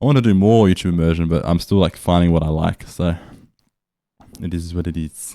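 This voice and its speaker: A man's very deep, low voice with a dark, mellow tone, an Australian accent, ordinary pitch variation and long, frequent pauses. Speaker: language learning vlogger. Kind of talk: casual video journal. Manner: casual, with fillers and restarts.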